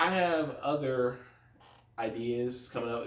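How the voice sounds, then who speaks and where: A man speaks with audible room echo around him. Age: 20s. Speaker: YouTuber. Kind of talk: casual rant to camera. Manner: fast; animated.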